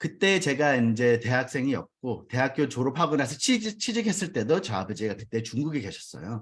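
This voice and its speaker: A man talks at a fairly quick pace with hardly any pauses. His pitch swings very widely. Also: medium pitch for a man. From US, New York. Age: 40s. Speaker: network marketing business leader. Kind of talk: business seminar talk with personal testimony.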